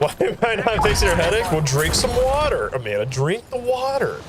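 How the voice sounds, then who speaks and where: An animated man at a moderate pace amid noticeable background noise. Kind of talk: casual live stream chat while gaming.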